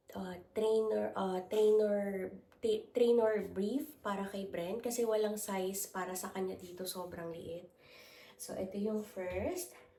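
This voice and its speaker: A woman's dark, mellow voice at medium pitch, very slow and fairly even in intonation, with audible room echo. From Philippines. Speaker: lifestyle vlogger. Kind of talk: haul unboxing vlog.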